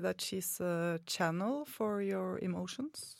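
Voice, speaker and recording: A woman speaks with a Norwegian accent at a fairly slow pace. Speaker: student radio co-host. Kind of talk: live radio interview. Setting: studio.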